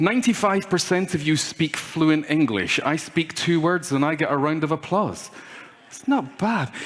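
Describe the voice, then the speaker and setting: With noticeable background noise behind him, a man with a Scottish accent talks at a moderate pace and a fairly high pitch, using ordinary pitch variation. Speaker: keynote speaker. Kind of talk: conference keynote talk. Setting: stage with audience. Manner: animated.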